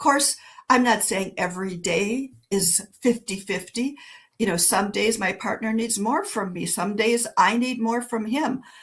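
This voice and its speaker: A woman speaks at a fairly slow pace in a fairly high, somewhat breathy voice. Her pitch variation is ordinary. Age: 60s. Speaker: author and educator, former nurse. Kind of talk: interview conversation. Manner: conversational, with many fillers and self-corrections.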